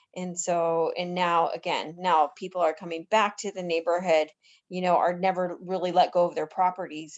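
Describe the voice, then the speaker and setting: Speaking at a moderate pace, a woman with an American accent and a fairly low voice keeps her intonation flat and monotone. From North Denver, Colorado. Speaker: board member. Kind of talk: community board meeting.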